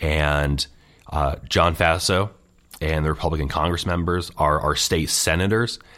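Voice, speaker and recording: This man has a very deep, low pitch and an upstate New York accent. He talks at a fairly slow pace, with fairly even intonation and very even loudness. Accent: upstate New York American. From upstate New York (Scotia, near Schenectady). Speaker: political organizer. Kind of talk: interview.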